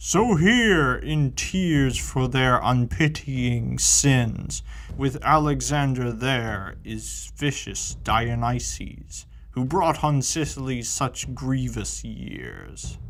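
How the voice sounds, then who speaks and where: At a very slow pace, a man performs a put-on character voice over clear background noise. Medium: read story. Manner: grave, solemn.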